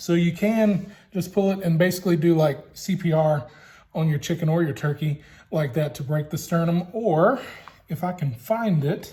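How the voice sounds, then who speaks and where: Speaking at a moderate pace with a Louisiana accent, a man has a high pitch, ordinary pitch variation and a dark, mellow tone. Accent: Southern US (Louisiana). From Louisiana, US South. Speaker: BBQ hobbyist vlogger, high school teacher. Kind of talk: cooking tutorial. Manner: casual, hesitant with fillers.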